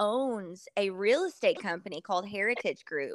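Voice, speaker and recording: A woman with a Southern US accent, fairly high in pitch and fairly slow in pace, in a dry, close recording with no echo and a silent background, very clean. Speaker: country singer-songwriter. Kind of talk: casual chat.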